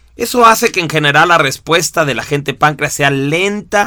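At a moderate pace, a man talks with a bright, sharp tone, fairly high pitch and lively intonation. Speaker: instructor. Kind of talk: recorded lesson. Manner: expressive.

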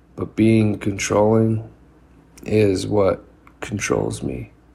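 Over noticeable background noise, a man with a fairly low pitch speaks very slowly with fairly even intonation. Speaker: poet. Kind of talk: poetry reading, performed poem. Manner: earnest, confessional; rhythmic, rhyming cadence, repeated refrain.

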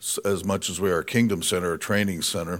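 In a very clean recording with a silent background, a man with an American accent speaks at a very deep, low pitch with ordinary pitch variation. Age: 60s. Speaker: guest preacher. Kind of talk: sermon.

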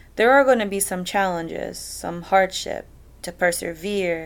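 A woman with medium pitch at a fairly slow pace, on a very clean recording with a silent background. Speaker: podcast host. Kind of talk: solo motivational monologue. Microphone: laptop and earphones, no fancy equipment.

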